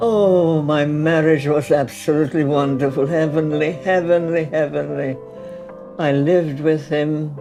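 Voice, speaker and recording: Music plays behind the speaker. A woman talks at a very deep, low pitch. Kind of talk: interview answer.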